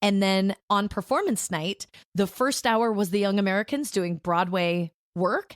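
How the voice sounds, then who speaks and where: Animated in tone, a woman speaks at a fairly slow pace and medium pitch with ordinary pitch variation and very even loudness, the sound dry and close with no echo. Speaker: voice over artist. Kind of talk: podcast interview answer. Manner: casual, animated.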